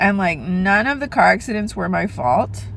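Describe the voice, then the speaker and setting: Speaking at a fairly quick pace, a woman is heard. Noticeable background noise runs behind her. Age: 30s. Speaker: vlogger. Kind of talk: casual chat.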